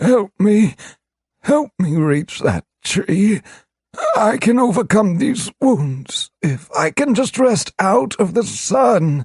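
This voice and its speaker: Here a man puts on a character voice, high in pitch. He speaks at a very slow pace. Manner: pleading.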